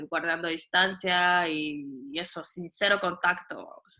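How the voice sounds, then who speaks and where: A woman with a bright, sharp tone talks at a fairly low pitch. Her pace is fairly slow and her intonation fairly even. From Guatemala. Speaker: radio voice talent and volunteer. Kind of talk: casual interview chat. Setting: video call.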